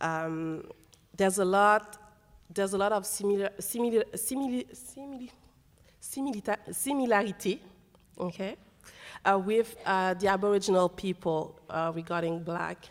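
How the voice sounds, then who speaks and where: In a French accent, a woman with a medium pitch talks at a moderate pace, leaving long, frequent pauses. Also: ordinary pitch variation. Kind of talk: panel discussion. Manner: halting.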